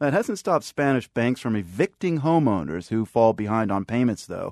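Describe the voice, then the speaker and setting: A man's normal speaking voice at a moderate pace, dry and close with no echo, against a quiet background. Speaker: radio host. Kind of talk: news anchor introduction. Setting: studio.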